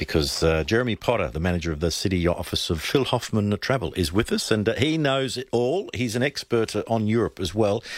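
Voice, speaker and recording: A man with an Australian accent, fairly low pitch, very wide pitch swings and a moderate pace. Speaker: radio host. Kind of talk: radio interview, casual chat. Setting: radio studio.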